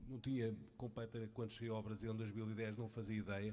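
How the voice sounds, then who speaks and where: The speaker is a man with a medium-pitched voice. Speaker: audience member, friend of speaker. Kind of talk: tribute speech. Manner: halting.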